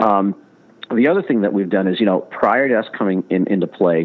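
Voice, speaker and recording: With an American accent and a plain, everyday voice, a man speaks at a fairly quick pace. His pitch is fairly low, with ordinary pitch variation. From Chicago. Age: 50s. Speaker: sports marketing executive. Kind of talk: interview.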